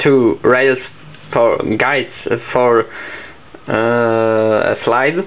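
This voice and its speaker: At a very slow pace, a man with a Polish accent speaks at medium pitch with fairly even intonation, against noticeable background noise. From Poland. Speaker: papercraft hobbyist. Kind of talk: tutorial. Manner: halting.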